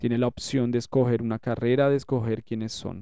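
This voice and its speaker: A dark, mellow tone at a fairly quick pace, with a dry, close sound and no echo. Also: man. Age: 40s. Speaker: war veteran. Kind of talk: testimony.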